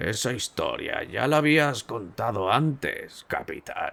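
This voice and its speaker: In a raspy, put-on character voice, a man speaks at a fairly slow pace. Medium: read story. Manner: calm, wry.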